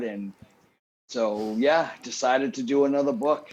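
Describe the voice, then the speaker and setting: Speaking in a New England accent, a man keeps a fairly slow pace. His pitch shows ordinary variation. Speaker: cookbook author and barbecue competitor. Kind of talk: casual chat. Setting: studio with live audience.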